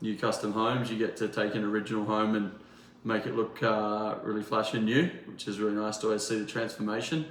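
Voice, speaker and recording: Audible room echo surrounds a man's fairly low voice in an Australian accent. He speaks very fast with monotone, flat intonation. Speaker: builder. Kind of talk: interview. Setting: in a townhome under renovation. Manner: hesitant, many fillers.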